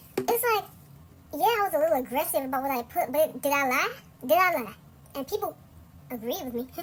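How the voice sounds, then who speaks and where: With very wide pitch swings and long, frequent pauses, a woman talks in a high voice. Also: fairly quick pace. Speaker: vlogger. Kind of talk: storytime rant. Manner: animated; sped up, higher pitched.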